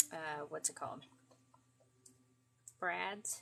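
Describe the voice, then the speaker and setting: A woman with a New England accent speaks at a fairly slow pace. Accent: some Yankee in her speech. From Florida. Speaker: craft livestreamer. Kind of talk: craft tutorial livestream. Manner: over-enunciates; casual, hesitant with fillers.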